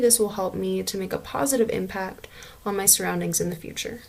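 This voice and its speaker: A woman talks fairly quickly while noticeable background noise carries on. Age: 20s. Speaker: student. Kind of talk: self-introduction. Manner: hesitant with fillers.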